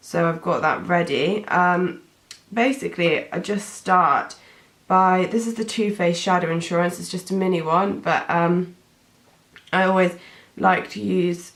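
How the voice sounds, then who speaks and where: Fairly even intonation in a British accent at a fairly slow pace. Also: woman, fairly low pitch for a woman. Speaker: beauty vlogger. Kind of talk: tutorial. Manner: casual, hesitant with many fillers.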